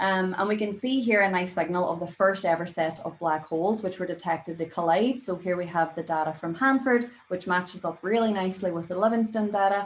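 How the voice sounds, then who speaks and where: A woman with a Northern Irish accent, fairly low pitch, ordinary pitch variation and a fairly quick pace. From Derry, Northern Ireland. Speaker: astrophysicist, postdoctoral researcher. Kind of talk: public science lecture.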